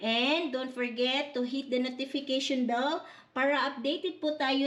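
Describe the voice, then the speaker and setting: A woman's high-pitched voice, fairly slow and fairly even in intonation. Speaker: vlogger. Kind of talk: vlog narration.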